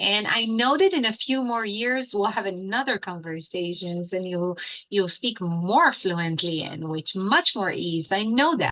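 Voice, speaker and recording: A woman with an American accent speaks at a fairly slow pace, her pitch at a medium level. Her intonation is lively, and she hardly pauses at all. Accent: sounds American. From Israel. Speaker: English teacher. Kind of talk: interview. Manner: animated.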